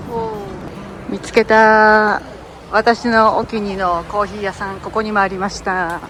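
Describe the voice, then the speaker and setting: A woman speaks in a medium pitch at a moderate pace, her intonation monotone and flat. Her loudness swings widely, and there is noticeable background noise. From Japan. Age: 50s. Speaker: travel vlogger, retired Japanese teacher. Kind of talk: casual travel vlog narration.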